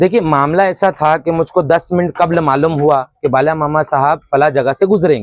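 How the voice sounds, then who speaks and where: The sound is close and dry, without echo. A man talks with ordinary pitch variation. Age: 20s. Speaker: teacher and local protester. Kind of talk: interview testimony. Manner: halting, many false starts.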